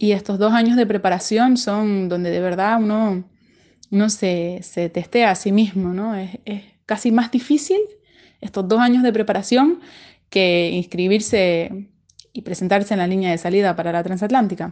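Medium-pitched female speech at a moderate pace with ordinary pitch variation. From Canary Islands (La Palma), Spain. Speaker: ocean racing sailor. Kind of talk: recorded personal account answering interview questions. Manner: halting, with frequent repetitions and fillers.

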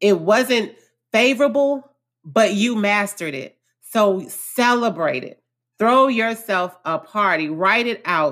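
A woman with an American accent, medium in pitch, with lively intonation at a fairly slow pace on a very clean recording with a silent background. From Houston, Texas (Acres Home). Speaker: therapist and podcast host. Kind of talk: motivational monologue. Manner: animated.

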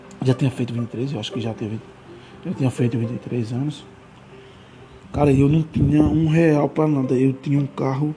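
Against noticeable background noise, a man at a medium pitch speaks at a moderate pace with fairly even intonation and long, frequent pauses. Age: 20s. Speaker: podcaster. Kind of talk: casual monologue. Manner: halting.

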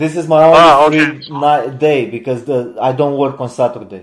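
Using an unremarkable speaking voice, a man with a fairly high pitch speaks at a moderate pace with ordinary pitch variation. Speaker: podcast host. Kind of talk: casual chat.

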